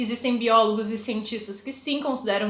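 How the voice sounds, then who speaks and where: A woman's high-pitched voice amid audible room echo and noticeable background noise. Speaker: biology teacher. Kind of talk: lecture. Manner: casual, informal.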